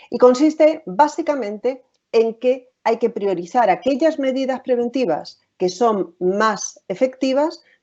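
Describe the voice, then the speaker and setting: A woman with a Spanish accent speaks at a fairly slow pace. Her voice is high-pitched, with lively intonation. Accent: Spanish (Spain). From Spain. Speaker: occupational safety and health specialist. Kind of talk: webinar presentation. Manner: frequent filler hesitations.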